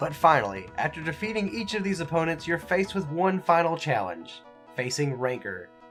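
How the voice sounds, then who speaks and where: Faint music plays in the background while a man speaks at a fairly quick pace. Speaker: video game reviewer. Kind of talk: game review commentary. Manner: casual, humorous.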